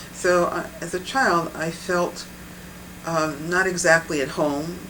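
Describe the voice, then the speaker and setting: Speaking with an American accent, a woman with a very deep, low voice keeps her intonation fairly even amid audible room echo and noticeable background noise. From New England, US. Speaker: bodywork practitioner. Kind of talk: interview. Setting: filmed interview.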